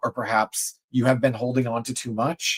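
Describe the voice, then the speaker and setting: A man has an ordinary speaking voice at a medium pitch. The sound is dry and close, with no echo. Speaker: tarot reader. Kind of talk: tarot reading on livestream.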